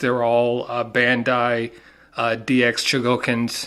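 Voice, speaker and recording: A man with a Southern US accent speaks at a medium pitch in a bright, sharp tone. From US South. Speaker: collector, unboxing video maker. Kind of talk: casual unboxing video. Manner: halting, many fillers.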